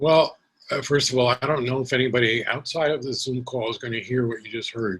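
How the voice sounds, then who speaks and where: Speaking at a fairly quick pace, a man keeps his intonation fairly even. His pitch is medium. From Brooklyn, New York, Puerto Rican family. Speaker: poet. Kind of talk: Q&A after poetry reading. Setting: video call.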